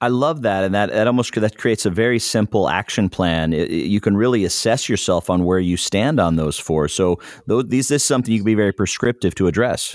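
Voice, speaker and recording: A man with an unremarkable speaking voice and a fairly low pitch talks at a fairly quick pace with hardly any pauses and ordinary pitch variation. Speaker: podcast interviewer. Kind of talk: podcast interview.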